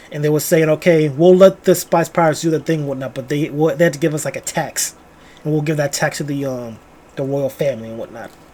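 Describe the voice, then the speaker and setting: Talking at a very fast pace, a man with a fairly high pitch and ordinary pitch variation is heard over noticeable background noise. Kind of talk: casual book review talk to camera. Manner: casual, rambling.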